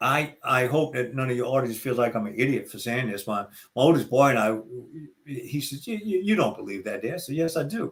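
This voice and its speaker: This man has a medium pitch and an American accent. He talks fairly quickly and somewhat breathily, with lively intonation. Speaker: retired NFL referee, speaker. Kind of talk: podcast interview. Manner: halting, many repetitions.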